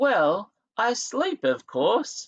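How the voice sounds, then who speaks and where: Using a put-on character voice, a man pitches it extremely high. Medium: read story. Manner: earnest, curious.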